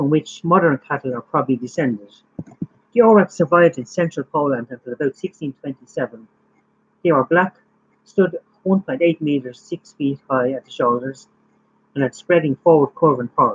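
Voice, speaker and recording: A man with a strong Irish accent and a fairly high pitch, moderate pace, ordinary pitch variation, big swings in loudness, and a dry, close sound with no echo. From Ireland. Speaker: YouTuber live streaming facts. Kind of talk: casual live stream chat and fact reading. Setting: live stream.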